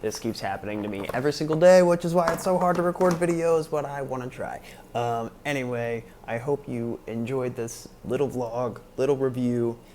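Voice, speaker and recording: A man talks at a medium pitch and a moderate pace with lively intonation. Noticeable background noise runs underneath. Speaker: vlogger. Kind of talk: casual vlog review.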